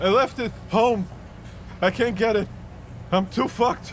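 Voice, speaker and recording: A man does a put-on character voice, high-pitched and wheezy. He keeps a moderate pace over clear background noise. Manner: wheezing, breathless.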